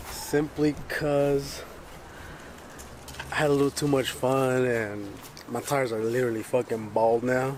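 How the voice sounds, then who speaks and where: A man's fairly even intonation is heard with noticeable noise in the background. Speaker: vlogger. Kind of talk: casual vlog.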